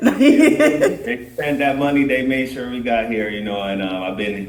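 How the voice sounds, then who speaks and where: A man with a Jamaican accent speaks with audible room echo. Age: 30s. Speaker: dancehall artist. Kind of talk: podcast interview.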